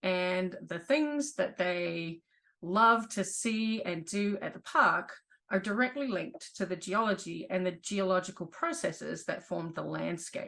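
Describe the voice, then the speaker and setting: With a New Zealand accent, a woman speaks at a fairly slow pace in a medium pitch, her tone bright and sharp and her intonation lively. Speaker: geology professor. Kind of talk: online presentation.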